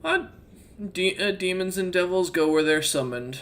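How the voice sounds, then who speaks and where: At a moderate pace, a female-sounding, put-on character voice speaks in a medium pitch. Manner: unhappy, reluctant.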